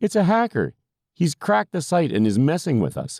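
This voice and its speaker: Putting on a character voice, a man speaks fairly quickly at a fairly high pitch with very wide pitch swings, the sound dry and close with no echo. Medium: read story. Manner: exasperated, skeptical.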